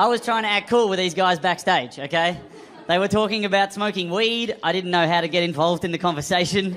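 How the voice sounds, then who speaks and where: In an Australian accent, a man talks very fast at a high pitch, with ordinary pitch variation and very even loudness. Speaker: stand-up comedian. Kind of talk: stand-up.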